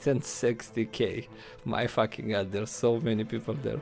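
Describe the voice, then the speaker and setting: A man with a non-native accent speaks at a moderate pace with ordinary pitch variation. Music plays in the background. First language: not English. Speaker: gaming streamer. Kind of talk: live stream reaction commentary. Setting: live stream. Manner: halting, many fillers.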